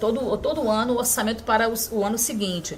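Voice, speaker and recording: Noticeable background noise sits under a woman's fairly high voice as she speaks at a moderate pace. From Aracaju, Sergipe, raised in Rio de Janeiro. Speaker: city councilwoman. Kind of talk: interview answer.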